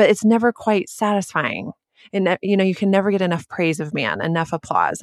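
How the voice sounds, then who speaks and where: A woman's unremarkable speaking voice at a fairly quick pace, with ordinary pitch variation. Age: 40s. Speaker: author and church planter's wife. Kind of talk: casual interview.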